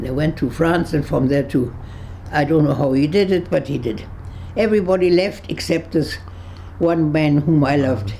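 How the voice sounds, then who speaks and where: A woman with a German accent speaks at a very deep, low pitch and a moderate pace. Background noise is noticeable, and the room echo is audible. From Germany, Berlin. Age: 80s+. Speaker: Holocaust-era refugee. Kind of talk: interview testimony. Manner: halting.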